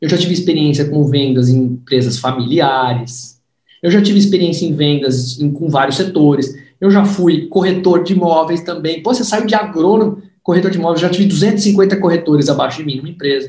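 A man speaks at a fairly quick pace with a high pitch and a dark, mellow tone. Audible room echo surrounds his voice. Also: ordinary pitch variation. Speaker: sales trainer and book author. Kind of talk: book launch livestream interview. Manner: animated.

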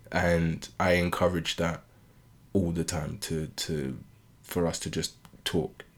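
Very deep and low with vocal fry, a man speaks in a British accent with monotone, flat intonation. He talks very slowly, with long, frequent pauses. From UK, Caribbean family. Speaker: podcast co-host. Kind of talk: casual chat.

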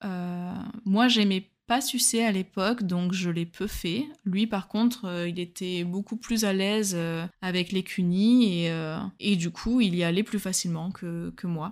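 Very slow speech with ordinary pitch variation comes through on a very clean recording with a silent background. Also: woman, medium pitch for a woman. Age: 20s. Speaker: solo dating podcaster. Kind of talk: personal storytelling narration.

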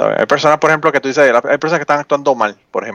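A man in a Puerto Rican accent, with a dry, close sound and no echo. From Puerto Rico, Utuado. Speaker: podcaster. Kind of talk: casual chat.

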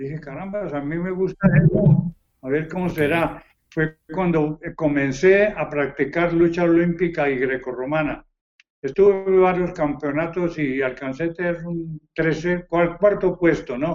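Fairly even intonation marks this man's high-pitched voice. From Colombia. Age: 80s+. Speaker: retired professional wrestler. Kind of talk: interview.

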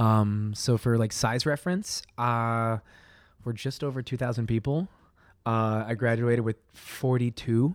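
A man with an American accent and a medium pitch speaks fairly slowly, the sound dry and close with no echo on a very clean recording with a silent background. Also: ordinary pitch variation. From Eastern Colorado (rural plains). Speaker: running coach and fitness instructor. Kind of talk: casual chat. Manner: animated, energetic; frequent laughter.

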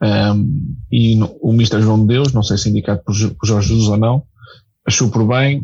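A man's fairly low pitch at a fairly slow pace, with ordinary pitch variation. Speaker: football commentator. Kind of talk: casual chat. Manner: hesitant.

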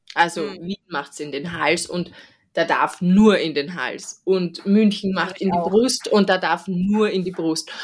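A woman with an unremarkable speaking voice and medium pitch speaks at a fairly slow pace with fairly even intonation. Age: 30s. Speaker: veterinarian, podcast host. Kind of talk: casual chat.

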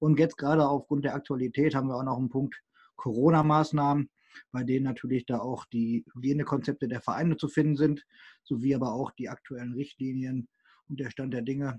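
A man's monotone, flat delivery at a fairly quick clip, the sound dry and close with no echo. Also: medium pitch for a man. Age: 20s. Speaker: co-host, regional football youth committee PR volunteer. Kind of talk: casual podcast chat.

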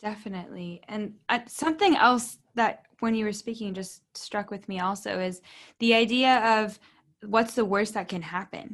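A normal speaking voice from a woman, fairly high in pitch, at a moderate pace with ordinary pitch variation against a quiet background. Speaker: naturopathic doctor and podcast host. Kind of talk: interview.

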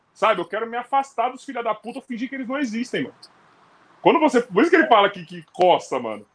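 A man's high-pitched voice at a very fast pace. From Rio de Janeiro, Brazil. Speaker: podcast host, former basketball player. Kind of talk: casual chat. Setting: live stream.

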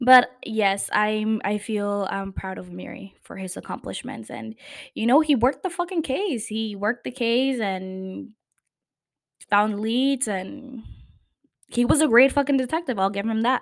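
An animated tone with big swings in loudness and ordinary pitch variation, on a very clean recording with a silent background. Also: woman, fairly high pitch for a woman. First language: not English. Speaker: podcast host. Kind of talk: casual chat about TV shows. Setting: home recording.

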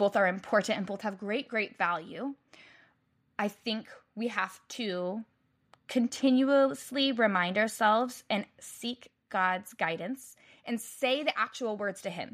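At a fairly slow pace, a woman with an American accent speaks in an animated tone with ordinary pitch variation. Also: fairly high pitch for a woman. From United States. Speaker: website designer and mother. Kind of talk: casual chat.

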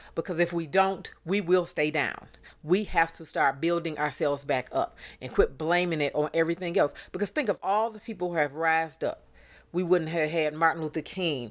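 A woman's voice at a moderate pace, fairly low in pitch, with fairly even intonation on a very clean recording against a silent background. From Detroit, Michigan. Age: 50s. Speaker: podcast co-host, mother. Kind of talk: casual chat.

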